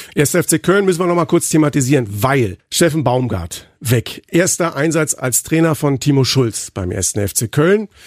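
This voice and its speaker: In a dry, close sound with no echo and a silent background on a very clean recording, a man talks in an animated tone at a fairly high pitch with very wide pitch swings. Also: moderate pace, hardly any pauses. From Berlin, Germany. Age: 50s. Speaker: football commentator, podcast co-host. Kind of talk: casual chat.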